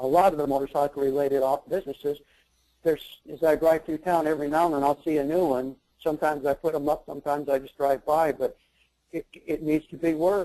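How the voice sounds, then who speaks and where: A man with an American accent talks at a very fast pace in a monotone, flat delivery, his pitch fairly high, the sound dry and close with no echo. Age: 70s. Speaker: website seller, retiree. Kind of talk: webinar interview. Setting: online webinar. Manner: halting.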